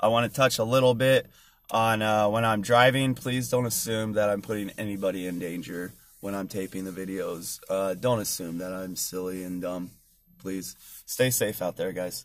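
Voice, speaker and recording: A man speaks at a moderate pace in a fairly low pitch, with ordinary pitch variation. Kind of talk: casual vlog chat. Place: car. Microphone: phone near.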